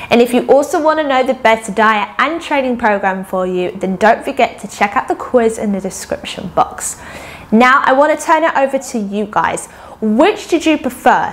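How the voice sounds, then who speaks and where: Her intonation lively, a woman speaks in a high voice at a moderate pace. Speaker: fitness video creator. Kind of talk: casual vlog chat, outro. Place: home room. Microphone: lapel.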